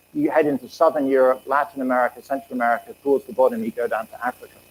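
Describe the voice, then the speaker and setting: With an English accent, this man speaks. His delivery comes out at a very fast clip. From England. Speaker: economics professor. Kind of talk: lecture.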